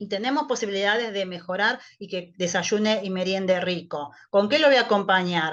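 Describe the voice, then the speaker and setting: A woman uses an ordinary speaking voice at a medium pitch with ordinary pitch variation. She talks at a moderate pace with hardly any pauses, and her loudness swings widely. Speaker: nutritionist. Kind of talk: online talk to patients.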